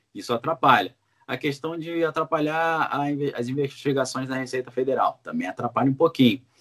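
A man is speaking. His pace is fairly quick. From Brazil, Rio de Janeiro. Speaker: political commentator. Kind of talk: interview.

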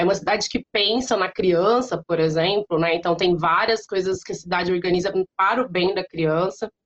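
A woman speaks in a normal speaking voice of medium pitch at a moderate pace, with fairly even intonation and hardly any pauses. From interior of São Paulo state, Brazil. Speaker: language teacher and consultant. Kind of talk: interview.

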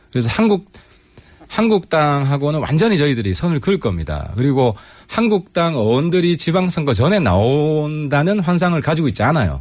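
The man's voice is fairly high, with very wide pitch swings. His recording is very clean, over a silent background. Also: moderate pace. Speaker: politician. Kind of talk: radio interview. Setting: studio.

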